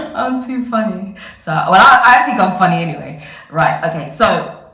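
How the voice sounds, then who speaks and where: A woman is speaking with ordinary pitch variation. Audible room echo can be heard. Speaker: vlogger. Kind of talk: casual vlog talk.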